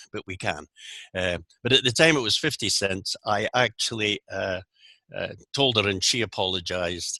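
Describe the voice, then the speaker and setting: A man with a Scottish accent, fairly low pitch and ordinary pitch variation at a moderate pace, in a dry, close sound with no echo. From Scotland, Aberdeen. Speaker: Rotary zone coordinator, speaker. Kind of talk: presentation. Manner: articulate.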